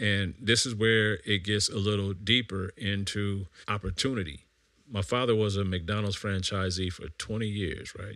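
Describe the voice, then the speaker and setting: In an American accent, a man talks at a moderate pace with a fairly low pitch and fairly even intonation, a plain, everyday voice. The recording is very clean, with a silent background. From Vallejo, California. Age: 40s. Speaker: podcast host, financial planning. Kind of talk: casual monologue.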